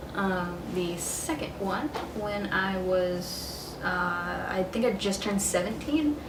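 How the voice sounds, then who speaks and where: A woman with an American accent, medium pitch and a very slow pace, plus noticeable background noise and audible room echo. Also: ordinary pitch variation. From US South, Metro Atlanta, Georgia. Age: 20s. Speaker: vlogger. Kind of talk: casual vlog. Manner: hesitant, many fillers.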